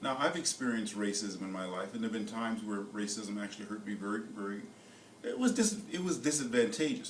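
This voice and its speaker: A man talks at a fairly quick clip with lively intonation. Noticeable background noise and audible room echo surround his voice. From United States. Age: 70s. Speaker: motivational speaker. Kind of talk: motivational talk. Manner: halting, repeats words.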